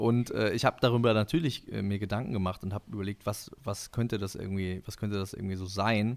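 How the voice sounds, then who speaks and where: In a plain, everyday voice, a man speaks fairly quickly at a fairly low pitch with ordinary pitch variation, on a very clean recording with a silent background. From northern Germany (Husum). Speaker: musician and podcaster. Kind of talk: casual chat.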